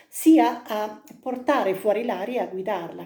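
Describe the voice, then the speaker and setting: Her tone is dark and mellow. The woman speaks at a fairly slow pace with lively intonation. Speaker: singing teacher. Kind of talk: vocal technique lesson to camera.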